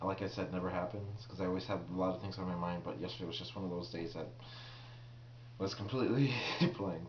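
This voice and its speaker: Amid noticeable background noise, a man with a very deep, low pitch talks at a very fast pace with lively intonation and long, frequent pauses. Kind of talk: casual Q&A talk to camera.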